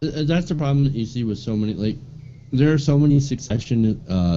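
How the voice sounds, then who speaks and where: His voice has a dark, mellow quality. The man talks at a moderate speed. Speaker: guest. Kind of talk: casual chat.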